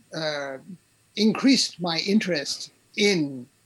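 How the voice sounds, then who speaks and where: Here a man talks at a high pitch with a southern English accent. His pitch varies in an ordinary way. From London, England. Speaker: author and retired English professor. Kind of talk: interview.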